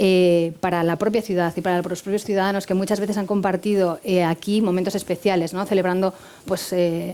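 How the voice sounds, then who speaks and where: A woman's dark, mellow tone at a fairly quick pace, in a monotone, flat intonation. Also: medium pitch for a woman. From Spain, not the Canary Islands. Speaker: hotel director. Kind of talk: interview.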